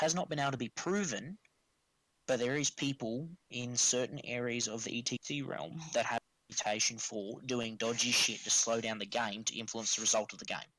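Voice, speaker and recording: With a strong Australian accent, a man speaks at a medium pitch and a moderate pace, his tone bright and sharp and his intonation lively. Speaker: tabletop wargaming tournament player. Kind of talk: casual podcast chat. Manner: animated.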